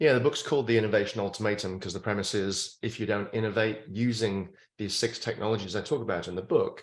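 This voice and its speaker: Against a quiet background, a man with a British accent talks very fast in a fairly low voice with fairly even intonation. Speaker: futurist and author. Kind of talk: interview.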